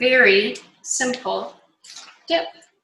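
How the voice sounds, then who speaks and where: A woman speaks at a very slow pace with lively intonation, and there is audible room echo. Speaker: nutrition and yoga cancer coach. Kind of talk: online cooking class. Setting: home kitchen, video call.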